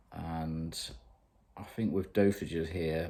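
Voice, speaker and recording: A man speaks with a British accent in a very deep, low pitch. His tone is dark and mellow. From UK. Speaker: fitness vlogger. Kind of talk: video diary. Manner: casual, hesitant with fillers.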